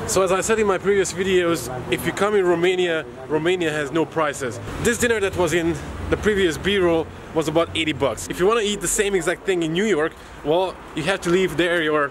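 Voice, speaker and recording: Ordinary pitch variation in fairly quick speech, noticeable background noise underneath. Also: man, high pitch for a man. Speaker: travel vlogger. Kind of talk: casual vlog chat. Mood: cheerful, joking. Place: street. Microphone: phone near.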